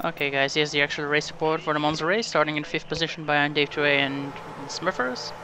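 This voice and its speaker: A man with a non-native accent speaks at a fairly high pitch. Noticeable background noise runs behind him. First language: not English. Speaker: sim racing gamer. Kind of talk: game commentary.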